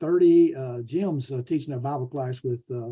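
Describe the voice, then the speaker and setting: A man's somewhat breathy, dark, mellow voice, fairly high pitched, with ordinary pitch variation and a Southern US accent. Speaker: preacher and preaching school teacher. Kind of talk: lecture. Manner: fast; halting.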